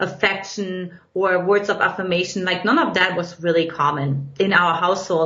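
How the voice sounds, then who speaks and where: A woman with a German accent at a moderate pace, plus audible room echo and noticeable background noise. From Eastern Germany. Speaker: relationship coach. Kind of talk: podcast interview.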